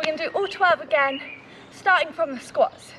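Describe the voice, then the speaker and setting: A woman uses a raised, projected voice with ordinary pitch variation over light background noise. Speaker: fitness instructor. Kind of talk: workout instruction. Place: garden.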